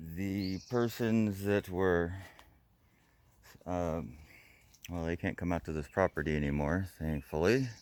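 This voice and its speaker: At a very slow pace, a man with a very deep, low pitch speaks with ordinary pitch variation and long, frequent pauses. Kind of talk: casual talk to camera.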